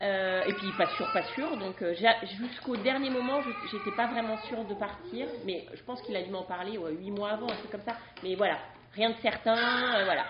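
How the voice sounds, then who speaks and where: Against noticeable background noise and audible room echo, a woman speaks at a moderate pace with a fairly high pitch and ordinary pitch variation. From France, Brittany. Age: 30s. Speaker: stay-at-home mother, former nurse. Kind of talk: casual chat. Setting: studio.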